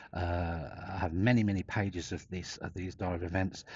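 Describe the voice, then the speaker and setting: The speaker is a man. There's a somewhat breathy quality to his voice. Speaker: whistleblower vlogger. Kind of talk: personal vlog monologue. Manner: fast; halting, fragmented.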